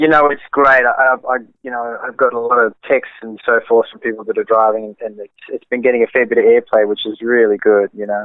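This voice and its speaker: A man with an Australian accent talks at a fairly quick pace with hardly any pauses. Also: big swings in loudness. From Australia, Sydney. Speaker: jazz saxophonist. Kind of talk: casual interview.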